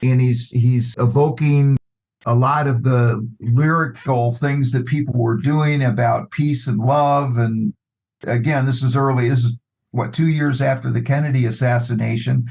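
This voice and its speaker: A man speaks at a fairly slow pace with a medium pitch and a somewhat breathy voice. His loudness stays very even, and his intonation is fairly even. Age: 70s. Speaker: podcast guest. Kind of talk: casual chat.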